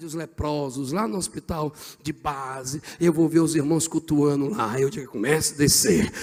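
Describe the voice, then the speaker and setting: The man's pitch is fairly high. He speaks at a moderate pace. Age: 40s. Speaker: pastor. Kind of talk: sermon. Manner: animated.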